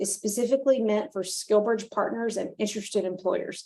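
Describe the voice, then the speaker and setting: A woman speaks in a dark, mellow tone. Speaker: nonprofit leader and webinar host. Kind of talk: webinar presentation. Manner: fast; frequent fillers.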